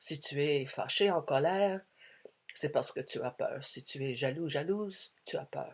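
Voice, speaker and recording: Against a quiet background, a woman with an English accent speaks at a fairly slow pace in a somewhat breathy voice with a very deep, low pitch and ordinary pitch variation. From Quebec, Canada. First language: English (speaking French). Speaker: spiritual speaker. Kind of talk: spiritual talk. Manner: hesitant, many fillers.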